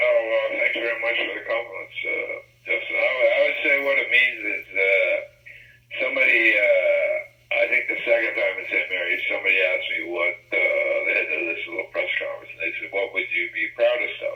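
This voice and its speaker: Over noticeable background noise, a man with an extremely high pitch speaks in a raised, projected voice at a fairly quick pace, his intonation monotone and flat. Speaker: sports journalist. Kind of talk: interview. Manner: halting, mumbling.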